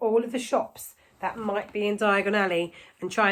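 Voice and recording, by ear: Reading aloud in a natural voice, intonation held fairly even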